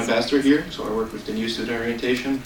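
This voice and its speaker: Monotone and flat at a medium pitch, a man speaks amid audible room echo and noticeable background noise. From Brazil. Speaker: international student. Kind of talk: board meeting testimony.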